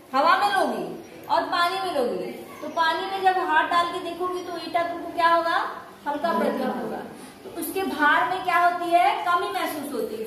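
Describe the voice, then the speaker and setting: A woman uses a raised, projected voice at a fairly slow pace with ordinary pitch variation, amid light background noise and audible room echo. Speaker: school teacher. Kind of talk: lecture. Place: classroom. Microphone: camera far.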